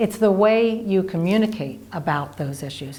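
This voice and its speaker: A woman speaks at a moderate pace with a Philadelphia accent. Her pitch sits in the middle range. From Philadelphia, US East Coast. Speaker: marriage educator. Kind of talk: scripted presentation.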